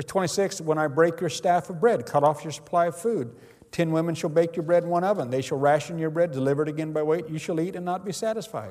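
This man has a fairly high pitch and ordinary pitch variation. He talks at a very fast pace. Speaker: Bible teacher. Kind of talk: Bible teaching lesson. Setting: classroom with audience.

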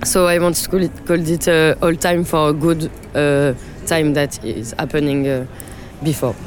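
Over noticeable background noise, a woman with a French accent and a very deep, low pitch speaks fairly slowly with fairly even intonation and long, frequent pauses. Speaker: DJ and producer. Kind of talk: interview. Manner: halting.

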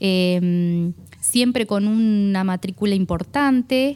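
At a very slow pace, a woman speaks in a dark, mellow tone with ordinary pitch variation. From Argentina, Buenos Aires province countryside near Tandil. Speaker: technical school administrator and teacher. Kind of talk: radio interview. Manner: halting, with frequent fillers and repetitions.

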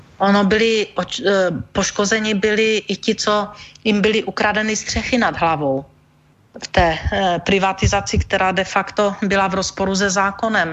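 A woman speaks in an ordinary speaking voice at a moderate pace and medium pitch. Her loudness is very even, and her intonation fairly even. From Czech Silesia, near Ostrava. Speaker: energy manager, former regulator head. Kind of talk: radio interview.

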